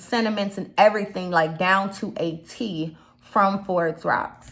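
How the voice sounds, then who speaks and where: A woman speaks in an animated tone with a slight Chicago accent. Her pitch varies in an ordinary way. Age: 30s. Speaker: YouTube commentator. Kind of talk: casual vlog commentary.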